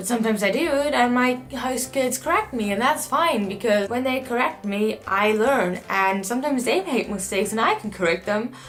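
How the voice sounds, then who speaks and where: Speaking with a German accent at a fairly high pitch, a woman talks at a fairly quick pace with lively intonation and hardly any pauses, amid noticeable background noise. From Germany. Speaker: au pair. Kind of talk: casual talk to camera.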